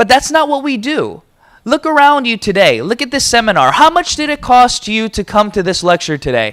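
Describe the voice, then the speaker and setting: Lively intonation marks this man's speech, with an American accent. His pitch is extremely high. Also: fairly quick pace. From United States. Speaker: motivational business speaker. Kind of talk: seminar talk. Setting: stage with audience.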